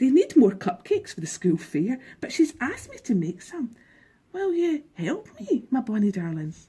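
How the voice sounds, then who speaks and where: A woman puts on a character voice, high in pitch. She swings her pitch very widely at a moderate pace. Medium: read story. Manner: warm, doting.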